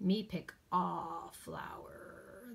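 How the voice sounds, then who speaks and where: A woman growls in a put-on character voice. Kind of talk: comic overacting. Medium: read story. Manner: bellowing, crude broken speech.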